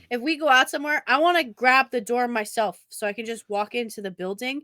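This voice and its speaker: In a New England accent, a woman speaks at a high pitch and a fairly quick pace, her tone bright, sharp and animated and her intonation lively, on a very clean, dry, close recording with no echo and a silent background. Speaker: podcast co-host. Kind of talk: casual chat.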